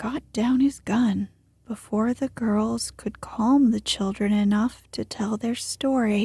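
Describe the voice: The voice is plain reading aloud. It reads the text as written.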